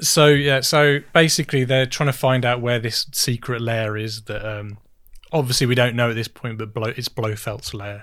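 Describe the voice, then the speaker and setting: A normal speaking voice with fairly even intonation comes through in a very clean recording with a silent background. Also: man, medium pitch for a man, moderate pace. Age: 30s. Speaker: podcast co-host. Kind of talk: casual chat.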